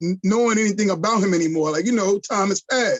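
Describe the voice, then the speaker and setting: This man speaks in a New York accent with a high pitch. His pitch varies in an ordinary way. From Brooklyn, New York. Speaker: podcast host. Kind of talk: casual interview.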